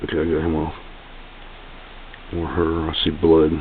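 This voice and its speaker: Over noticeable background noise and audible room echo, a man speaks quietly at a moderate pace with a very deep, low pitch and monotone, flat intonation. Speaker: tarantula keeper vlogger. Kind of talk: casual video narration. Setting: at home, close to camera. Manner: talking quietly.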